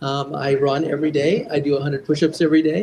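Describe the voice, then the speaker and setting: A man talks at a moderate pace in an unremarkable speaking voice, his pitch fairly high for a man. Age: 60s. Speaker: attorney general candidate. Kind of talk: political debate. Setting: live event with audience.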